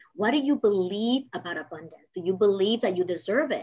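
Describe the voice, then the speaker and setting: At a moderate pace, a woman with a Spanish accent speaks at a medium pitch with lively intonation. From Dominican Republic. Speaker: business coach. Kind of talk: motivational talk.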